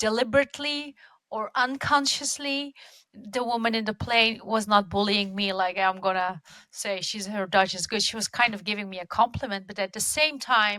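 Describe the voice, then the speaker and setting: In a dry, close sound with no echo, a woman's fairly high voice has a bright, sharp tone, ordinary pitch variation and big swings in loudness. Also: moderate pace. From Netherlands. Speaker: podcast host. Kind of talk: interview conversation.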